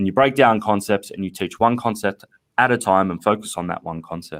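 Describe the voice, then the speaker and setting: Speaking at a fairly quick pace, a man with an Australian accent has a fairly low pitch. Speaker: math education company representative. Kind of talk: casual interview.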